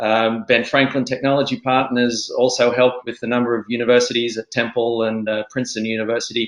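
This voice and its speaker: At a very fast pace, a man with an Australian accent speaks at a medium pitch with fairly even intonation. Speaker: angel investor. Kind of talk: panel discussion.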